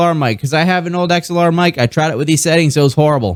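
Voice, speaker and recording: A man speaks at a very fast pace in a high voice. The recording is very clean, with a silent background. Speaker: gaming streamer. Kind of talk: tutorial. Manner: casual, rambling with fillers.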